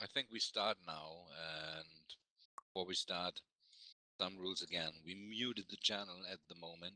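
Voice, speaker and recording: A man with a German accent speaks fairly slowly in a very deep, low voice with a bright, sharp tone and fairly even intonation, in a dry, close sound with no echo. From Germany. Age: 40s. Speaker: game company representative. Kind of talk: meeting presentation.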